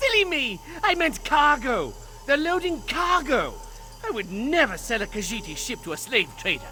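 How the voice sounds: A man's put-on character voice, extremely high-pitched with big pitch swings and a bright, sharp tone, at a moderate pace over faint music in the background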